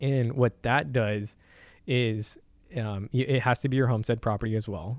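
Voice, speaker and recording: A man speaks in an ordinary speaking voice with an American accent. His pitch is medium, his pace moderate, and his pitch variation ordinary. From San Antonio, Texas. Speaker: property tax lawyer. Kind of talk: casual interview.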